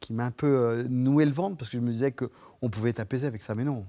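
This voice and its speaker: A man talks with a dark, mellow tone. His pitch is medium, with ordinary variation. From France, Vendée (Poitou). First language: Poitevin patois (speaking French). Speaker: actor and storyteller. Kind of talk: TV interview. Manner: hesitant, many repetitions.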